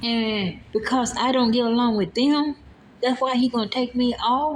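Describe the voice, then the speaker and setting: A woman's fairly slow, monotone, flat delivery amid noticeable background noise. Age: 60s. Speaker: nursing home worker telling of her firing. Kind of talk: personal vlog testimony.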